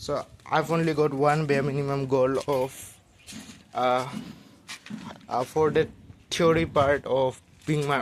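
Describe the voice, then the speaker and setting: A man speaks in a monotone, flat way. He leaves long, frequent pauses. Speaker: vlogger working on speaking skills. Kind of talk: casual video diary monologue. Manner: halting, many filler words.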